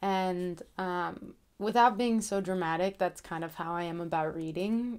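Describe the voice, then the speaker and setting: Soft-spoken and fairly low in pitch, a woman speaks at a fairly slow pace on a very clean recording with a silent background. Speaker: author and book vlogger. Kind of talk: casual vlog talk. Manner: hesitant, many fillers.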